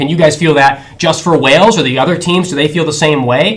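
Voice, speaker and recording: Over noticeable background noise, a man with an American accent talks at a very fast pace with a fairly high pitch and ordinary pitch variation. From United States. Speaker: student sports show host. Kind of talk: live show hosting.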